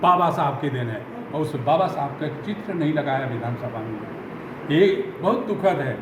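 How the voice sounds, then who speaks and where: Lively intonation marks the speech. Audible room echo and noticeable background noise are present. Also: man. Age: 70s. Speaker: Dalit community leader, retired army officer. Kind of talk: press interview. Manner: animated.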